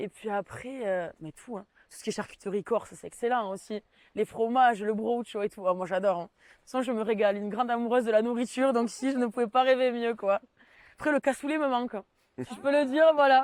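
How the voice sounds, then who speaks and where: A fairly high-pitched woman at a fairly quick pace with ordinary pitch variation, in a very clean recording with a silent background and a dry, close sound with no echo. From southwestern France, Tarn (Mazamet). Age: 20s. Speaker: civic service volunteer. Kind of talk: interview testimony. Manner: hesitant, with frequent fillers.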